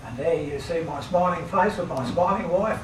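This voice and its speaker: A man with an Australian accent at a moderate pace, amid noticeable background noise and audible room echo. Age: 80s+. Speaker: retired aerobatic pilot and engineer. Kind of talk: talk to club audience. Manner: halting.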